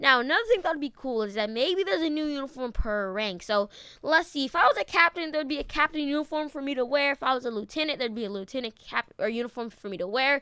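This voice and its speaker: Very fast and with hardly any pauses, a woman projects a raised, high-pitched voice with a bright, sharp tone and lively intonation. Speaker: gaming youtuber. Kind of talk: casual gaming commentary.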